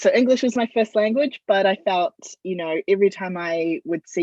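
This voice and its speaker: A woman with a New Zealand accent, dry and close in sound with no echo. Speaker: football media and communications consultant. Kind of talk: interview.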